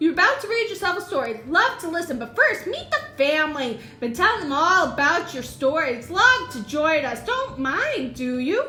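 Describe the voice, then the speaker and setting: Over clear music in the background, a woman in a put-on character voice speaks at a moderate pace with an extremely high pitch and very wide pitch swings. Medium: read story. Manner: clipped, eager, chummy.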